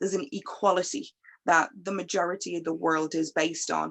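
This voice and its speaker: At a moderate pace, a woman speaks with an Irish accent over a quiet background. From Ireland. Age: 30s. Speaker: panel guest. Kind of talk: panel discussion.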